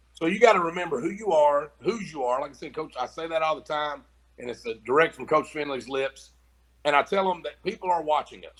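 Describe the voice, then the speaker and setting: A man with an American accent talks at a fairly quick pace in a fairly high voice, with ordinary pitch variation and big swings in loudness. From Kentucky, Mount Sterling. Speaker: high school football coach. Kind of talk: interview.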